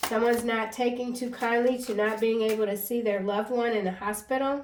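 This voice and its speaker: A woman talks at a fairly quick pace in a fairly high pitch with monotone, flat intonation. Noticeable background noise is present. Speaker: tarot card reader. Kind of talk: tarot reading monologue. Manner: halting, self-admitted stuttering.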